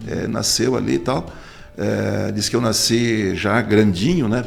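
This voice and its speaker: Noticeable noise runs behind this man's voice. He talks at a moderate pace and a medium pitch. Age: 60s. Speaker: politician. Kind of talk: interview.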